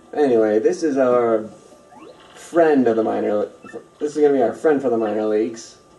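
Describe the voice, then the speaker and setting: Speaking at a fairly quick pace with long, frequent pauses, a man with a medium pitch shows ordinary pitch variation over noticeable background noise. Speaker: let's play gamer. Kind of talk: casual gameplay commentary. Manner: nonchalant, low energy.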